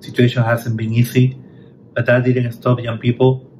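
Over light background noise, a man talks in a monotone with flat intonation. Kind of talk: welcome speech. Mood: grateful, warm. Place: office. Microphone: phone near.

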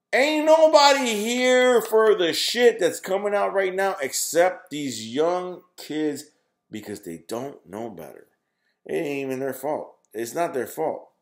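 A man with a high voice speaks at a fairly slow pace. His pitch swings very widely against a quiet background. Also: big swings in loudness. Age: 30s. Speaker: gaming YouTuber. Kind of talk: casual monologue to camera. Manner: halting, many fillers and repetitions. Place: home room. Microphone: webcam.

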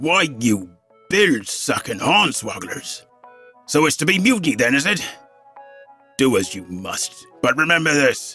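Faint music in the background behind a man's put-on character voice, fairly high in pitch, at a moderate pace

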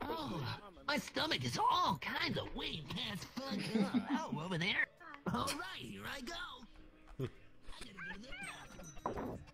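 A put-on character voice speaks at a very slow pace. Background noise is clearly audible. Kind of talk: comic overacting. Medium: game stream. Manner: frantic, panicky, cocky catchphrase "way past".

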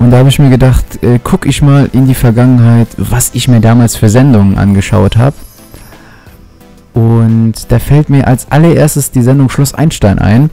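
Very even loudness, a dry sound with no echo, a moderate pace and music in the background. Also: man, ordinary pitch variation. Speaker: gaming commentator. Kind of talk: commentary.

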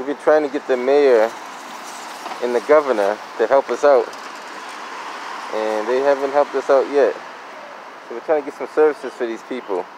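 Against noticeable background noise, a man talks at a fairly quick pace with fairly even intonation, and the sound is dry with no echo. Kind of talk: casual vlog commentary. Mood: concerned, earnest. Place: street. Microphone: phone near.

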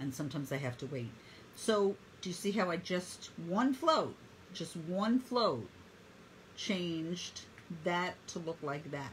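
In a warm, somewhat breathy tone, a woman speaks at a fairly slow pace with lively intonation. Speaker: painting instructor. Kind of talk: live online painting tutorial. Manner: talkative, friendly; warm, encouraging.

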